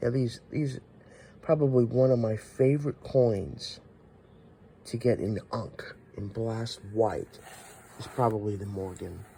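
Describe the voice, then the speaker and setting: A man with a medium-pitched, dark and mellow voice, somewhat breathy, speaks with ordinary pitch variation, big swings in loudness, and long, frequent pauses. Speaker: coin collector video host. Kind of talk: show-and-tell collection video. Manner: casual, halting.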